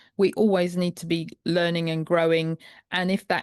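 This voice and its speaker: In a dry, close sound with no echo and a quiet background, a woman speaks at a moderate pace with a fairly low pitch and monotone, flat intonation. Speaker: podcast host, primal health coach. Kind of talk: podcast conversation.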